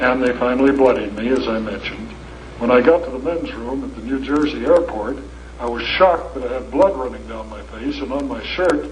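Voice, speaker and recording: With an American accent, a man talks at a fairly quick pace with big swings in loudness, amid noticeable background noise and audible room echo. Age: 70s. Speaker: lecturer. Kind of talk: lecture. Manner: animated.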